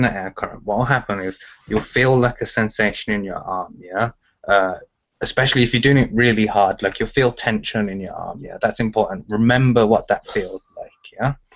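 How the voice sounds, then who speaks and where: This man talks at a fairly quick pace in a Birmingham accent. His pitch is medium, with ordinary variation. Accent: Birmingham (Brummie) English. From England, Birmingham. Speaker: telekinesis teacher. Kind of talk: interview. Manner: casual, filler-heavy.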